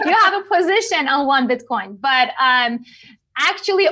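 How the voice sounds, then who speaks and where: Raising and projecting her voice, a woman with a non-native accent speaks at a high pitch in a bright, sharp tone with very wide pitch swings. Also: quiet background. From Iran. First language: not English. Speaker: cryptocurrency expert. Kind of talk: podcast interview.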